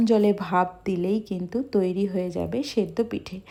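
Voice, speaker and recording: A woman's dark, mellow tone in a very clean recording with a silent background. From West Bengal, India (Medinipur). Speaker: food vlogger. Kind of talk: cooking vlog narration.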